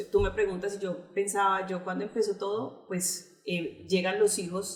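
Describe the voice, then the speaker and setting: A woman speaks at a moderate pace with a Colombian accent, her pitch medium and her intonation fairly even. Noticeable background noise runs behind her. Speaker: pastor. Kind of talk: testimony.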